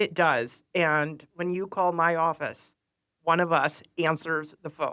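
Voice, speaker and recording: A woman speaks very slowly with a Midwestern American accent and a bright, sharp tone. Her fairly low pitch holds fairly even intonation. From northern Illinois, Sycamore. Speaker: county treasurer. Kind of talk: interview.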